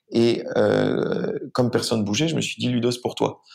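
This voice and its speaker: A man talks with vocal fry at a fairly low pitch. The recording is very clean, with a silent background. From France. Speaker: startup founder and CEO. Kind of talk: interview.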